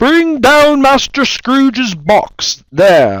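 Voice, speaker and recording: Using a put-on character voice, a man speaks at an extremely high pitch and a very slow pace with lively intonation. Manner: commanding, harsh.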